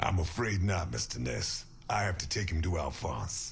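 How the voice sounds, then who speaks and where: A man does a put-on character voice, raspy and very deep. He moves at a moderate pace with lively intonation. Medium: video game. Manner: blunt, dry.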